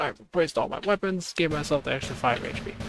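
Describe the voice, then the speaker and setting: At a fairly quick pace, a man speaks quietly in a fairly high pitch, the sound dry and close with no echo and music in the background. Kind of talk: gameplay commentary.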